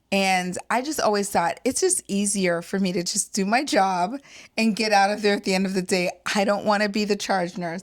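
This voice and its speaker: In a very clean recording with a silent background, a woman speaks at a medium pitch and moderate pace with ordinary pitch variation. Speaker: podcast co-host, registered nurse, military spouse. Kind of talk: casual chat. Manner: soft-spoken.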